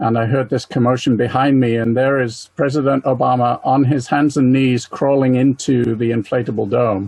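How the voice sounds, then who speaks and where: With an American accent, a man at a medium pitch talks at a moderate pace in a flat monotone, keeping his loudness very even and hardly pausing. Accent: mid-Atlantic, English with American lilt. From England. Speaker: planetarium presenter and amateur astronomer. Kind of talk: talk with slides. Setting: webinar.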